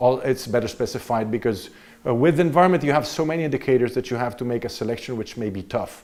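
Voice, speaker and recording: Medium-pitched man in an Italian accent, ordinary pitch variation, very clean recording with a silent background. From Italy. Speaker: visiting political science professor. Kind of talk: university lecture.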